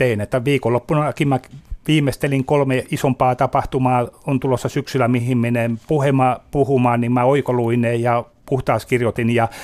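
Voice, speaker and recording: Delivered at a moderate pace, a man's medium-pitched voice stays monotone and flat with very even loudness. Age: 50s. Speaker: memory disease patient advocate. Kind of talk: radio interview. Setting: studio. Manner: halting.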